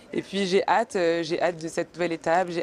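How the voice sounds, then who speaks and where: Her intonation fairly even, a woman speaks at a fairly quick pace and a fairly low pitch. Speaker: outgoing beauty queen. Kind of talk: interview at airport. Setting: airport arrival. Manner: hesitant, many fillers.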